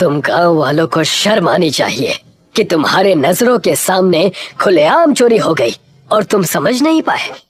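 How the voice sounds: A man's cartoonish character voice, high-pitched with a slightly husky edge, big pitch swings, a fairly slow pace and few pauses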